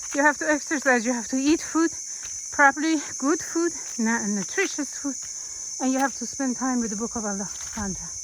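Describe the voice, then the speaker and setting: Over noticeable background noise, a woman with a high voice talks at a very fast pace. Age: 70s. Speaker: Islamic teacher. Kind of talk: casual vlog talk while hiking. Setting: outdoors. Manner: halting.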